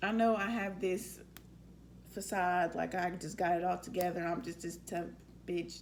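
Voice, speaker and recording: Speaking at a moderate pace, a woman uses a fairly low pitch with vocal fry and fairly even intonation. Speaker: vlogger. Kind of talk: casual q&a vlog.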